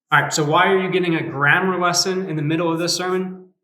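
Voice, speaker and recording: With audible room echo, a man talks in a high, bright and sharp voice. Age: 30s. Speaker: youth pastor. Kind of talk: sermon. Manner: animated.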